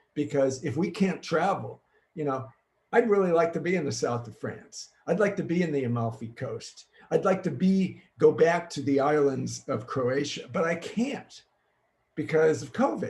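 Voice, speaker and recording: With an American accent and some vocal fry, a man speaks at a moderate pace in a fairly high voice with ordinary pitch variation. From US Midwest, Chicago. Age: 70s. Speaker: futurist and keynote speaker. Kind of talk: virtual keynote presentation. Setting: home green screen studio, recorded online.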